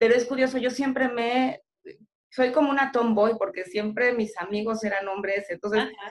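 This woman has a normal speaking voice, pitched fairly high, with ordinary pitch variation and a moderate pace. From central Mexico, State of Mexico. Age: 40s. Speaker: beer industry professional. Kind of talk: casual chat.

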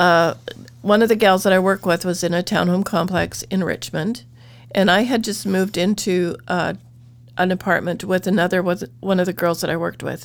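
Speaking at a fairly quick pace, a woman has a medium pitch and ordinary pitch variation. Vocal fry runs through her voice. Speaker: church member telling her life story. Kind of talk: testimony.

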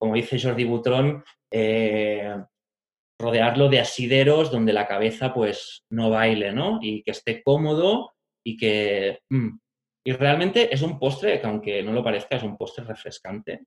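A man speaks at a fairly slow pace in a medium pitch, with ordinary pitch variation. It is a normal speaking voice. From Catalonia, Spain (Barcelona and Pyrenees). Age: 30s. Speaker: pastry chef. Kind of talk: interview conversation.

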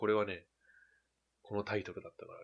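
Talking at a very fast pace, a man with a fairly low pitch has a bright, sharp tone. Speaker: podcast host. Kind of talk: casual chat.

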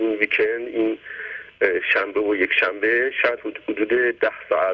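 The man's delivery moves at a moderate pace. Background noise is noticeable throughout. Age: 80s+. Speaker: caller. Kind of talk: testimony.

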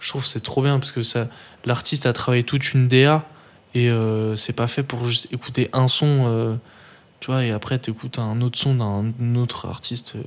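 Monotone, flat intonation from a man at a medium pitch and moderate pace. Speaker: podcast co-host. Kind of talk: casual chat.

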